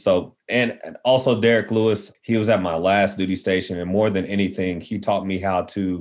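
Over a quiet background, a plain, everyday voice moves at a moderate pace with fairly even intonation. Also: man. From West Texas. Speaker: Air Force veteran and nonprofit co-founder. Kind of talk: casual interview.

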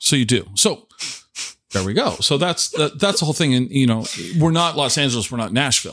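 Fairly quick speech from a man with an American accent, in a normal speaking voice at a fairly high pitch. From Tacoma area, Washington. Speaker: podcast host. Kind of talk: casual chat. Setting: dining room table at guest's home.

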